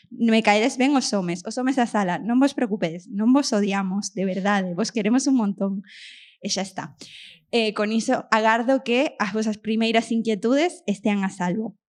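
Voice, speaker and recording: A woman with an Argentine accent and a fairly high pitch, at a moderate pace with ordinary pitch variation, in a very clean recording with a silent background. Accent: Argentine accent in Galician. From Argentina, moved to Vigo at ten. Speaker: podcast host. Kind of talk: live podcast with audience, comedic monologue. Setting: stage with live audience.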